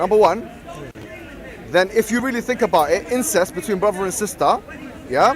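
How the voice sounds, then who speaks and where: A man with a high-pitched voice talks at a fairly quick pace with lively intonation while a crowd murmurs in the background. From London. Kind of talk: heated debate. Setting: outdoors, public park. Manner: fast, interrupting.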